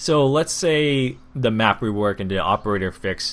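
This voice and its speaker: A man's medium-pitched voice with a non-native accent. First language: not English. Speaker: gaming YouTuber. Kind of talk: casual commentary.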